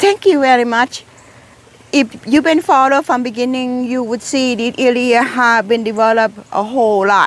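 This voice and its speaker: High-pitched, a woman speaks with a Thai accent. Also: ordinary pitch variation, moderate pace. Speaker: gardening vlogger. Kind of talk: casual garden tour vlog. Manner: halting, many repeated words.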